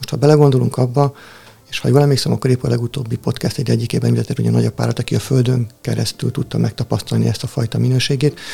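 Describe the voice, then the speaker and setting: Noticeable background noise runs under this clip. A man talks at a very fast pace. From Hungary, Tihany (Lake Balaton). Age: 40s. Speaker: spiritual practitioner and volunteer helper. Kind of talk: casual interview chat.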